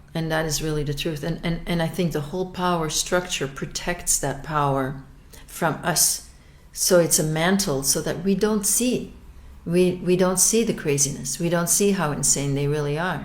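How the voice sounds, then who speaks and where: Here a woman speaks at a moderate pace with a fairly low pitch and ordinary pitch variation. Audible room echo surrounds her voice. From Belgium. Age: 60s. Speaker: abuse survivor. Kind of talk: testimony. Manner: halting, with frequent repetitions and fillers.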